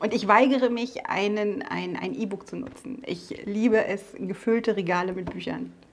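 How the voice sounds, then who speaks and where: Over noticeable background noise, a woman at medium pitch speaks at a moderate pace with fairly even intonation. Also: big swings in loudness. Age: 40s. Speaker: business owner, former police officer. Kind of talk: interview. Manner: hesitant, many filler sounds.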